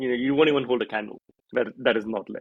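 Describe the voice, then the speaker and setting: A man speaks with an Indian accent. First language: Hindi. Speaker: airline brand strategist and author. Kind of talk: casual chat.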